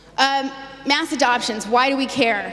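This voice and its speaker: Audible room echo and noticeable background noise fill the recording. The woman speaks at a fairly quick pace. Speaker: conference speaker, crypto site founder. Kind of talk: presentation. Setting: stage with audience. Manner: fast; animated.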